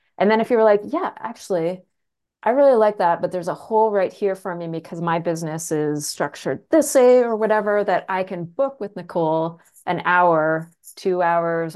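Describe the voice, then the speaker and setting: Against a quiet background, a woman with a Canadian accent and an unremarkable speaking voice talks at a fairly quick pace, her pitch fairly low with ordinary pitch variation. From rural Canada. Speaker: real estate agent and trainer. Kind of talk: casual interview.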